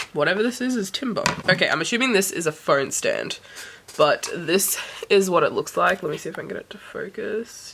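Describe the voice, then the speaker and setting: Someone talks at a moderate pace with an Australian accent. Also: woman. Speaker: book vlogger. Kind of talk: casual unboxing vlog.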